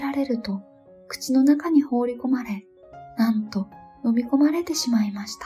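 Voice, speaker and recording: Over music in the background, a soft-spoken woman with a high pitch talks at a fairly quick pace with lively intonation. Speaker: bedtime storyteller. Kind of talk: Japanese narration of folktale.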